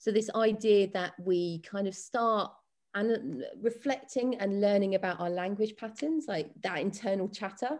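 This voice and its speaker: A woman speaks at a medium pitch in a southern English accent. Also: ordinary pitch variation, moderate pace. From West London. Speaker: dance and fitness coach. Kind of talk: casual interview.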